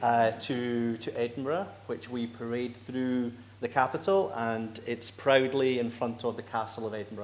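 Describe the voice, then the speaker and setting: Over noticeable background noise and audible room echo, a man with a Scottish accent speaks at a medium pitch. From Scotland. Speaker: executive director of a right-to-die federation. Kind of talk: conference presentation. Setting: conference stage with audience.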